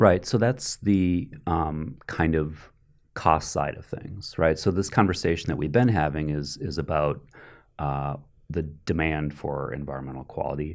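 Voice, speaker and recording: On a very clean recording with a silent background, a man speaks fairly slowly at a very deep, low pitch with vocal fry and ordinary pitch variation. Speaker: economics professor. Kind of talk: interview. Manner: dispassionate, even.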